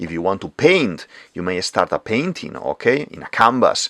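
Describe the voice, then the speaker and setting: A man with an unremarkable speaking voice talks at a moderate pace in a fairly low pitch. The recording is very clean with a silent background, dry and close with no echo. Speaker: art teacher, drawing tutorial creator. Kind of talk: tutorial.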